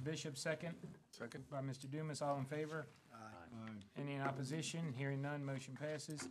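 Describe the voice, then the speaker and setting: A man speaks at a fairly quick pace with monotone, flat intonation. Noticeable background noise runs behind him. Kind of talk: formal meeting procedure, reading agenda. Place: meeting room. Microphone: podium.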